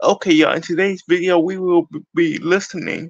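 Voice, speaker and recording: A man is heard. His voice sits high in pitch. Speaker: music reaction YouTuber. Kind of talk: casual talk to camera. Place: home room. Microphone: phone near.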